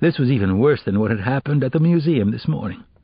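Intonation here is lively. The reading voice is unforced.

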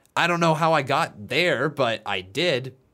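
A man speaks in a bright, sharp tone with vocal fry. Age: 20s. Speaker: wrestling YouTuber and live streamer. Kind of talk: casual solo podcast monologue. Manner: rambling, tangential; halting, with frequent fillers.

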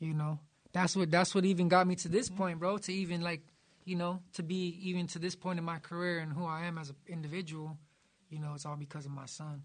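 A high-pitched man's voice with monotone, flat intonation at a fairly quick pace. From Los Angeles area, San Gabriel Valley. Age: 30s. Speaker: music producer. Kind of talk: casual chat. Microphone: echo.

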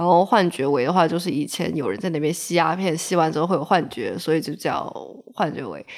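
Talking at a fairly quick pace, a woman with a fairly low pitch and ordinary pitch variation has an unremarkable speaking voice. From Shenzhen, southern China. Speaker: graduate student and blogger. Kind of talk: casual chat.

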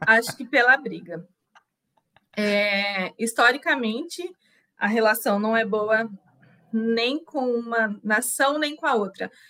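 Very slowly and with long, frequent pauses, a woman speaks in a bright, sharp tone at a fairly high pitch with ordinary pitch variation. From interior of São Paulo state, Brazil (Itu). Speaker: Brazilian expat living in Poland. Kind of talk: casual interview chat.

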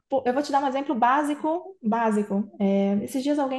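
This woman's voice sits high, and her pitch moves in an ordinary way. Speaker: tech company CEO. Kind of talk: casual interview.

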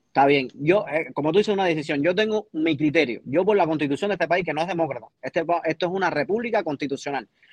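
A man talks at a very fast pace with hardly any pauses, his pitch fairly high and its variation ordinary. The sound is dry and close, with no echo. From Cuba. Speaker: baseball commentator panelist. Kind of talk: heated debate.

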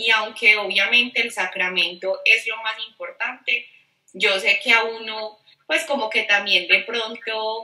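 Using an ordinary speaking voice, a woman speaks at a fairly slow pace, her fairly high pitch held in fairly even intonation. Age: 30s. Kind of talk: casual interview chat.

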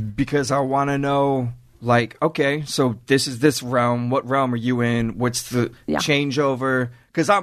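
An ordinary speaking voice from a man, medium in pitch, with fairly even intonation and a fairly slow pace. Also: hardly any pauses, quiet background. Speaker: cookbook author guest. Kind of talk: casual chat.

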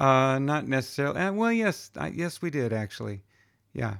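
A man speaks at a fairly quick pace with lively intonation and a medium pitch. He has a plain, everyday voice. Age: 50s. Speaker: musician. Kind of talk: casual chat.

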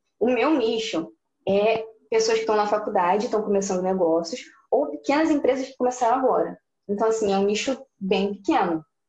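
A woman with a plain, everyday voice speaks fairly quickly at a fairly high pitch, her intonation lively. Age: 20s. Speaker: business student and graphic designer running a consultancy. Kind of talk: interview.

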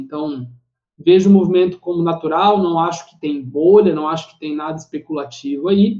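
The speaker talks at a fairly quick pace. The intonation stays fairly even. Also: man. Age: 20s. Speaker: financial analyst. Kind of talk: casual interview.

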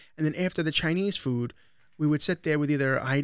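A man with an American accent has a plain, everyday voice with fairly high pitch and ordinary pitch variation. The recording is very clean, with a silent background. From Long Island, New York. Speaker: podcast host and social media creator. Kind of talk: casual chat.

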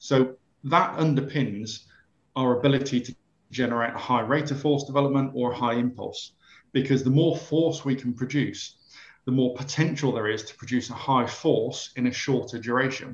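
Speaking in an English accent, a man uses a medium pitch and a moderate pace. His voice is somewhat breathy. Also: fairly even intonation. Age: 40s. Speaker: sports science professor. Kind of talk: interview.

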